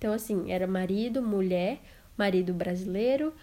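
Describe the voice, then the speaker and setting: This is a woman's voice. Its tone is dark and mellow. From Brazil, interior of Amazonas. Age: 20s. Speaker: podcaster, au pair. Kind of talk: casual personal storytelling monologue.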